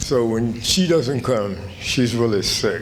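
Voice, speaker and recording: Over noticeable background noise and audible room echo, a man speaks at a medium pitch and a fairly slow pace with ordinary pitch variation. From Kentucky, Fayette County. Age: 80s+. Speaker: retired professor, award honoree. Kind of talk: acceptance speech.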